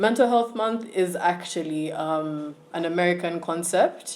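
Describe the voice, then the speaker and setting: Audible room echo surrounds a woman's fairly low-pitched voice as she speaks at a fairly slow pace. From Uganda. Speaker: student giving a talk on mental health. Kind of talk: online talk / presentation.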